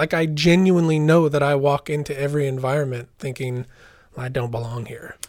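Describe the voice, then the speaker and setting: In an American accent, a man talks at a fairly quick pace with a fairly high pitch and ordinary pitch variation. He has a normal speaking voice. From US West, southern Oregon. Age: 40s. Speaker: singer-songwriter. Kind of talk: personal testimony in interview.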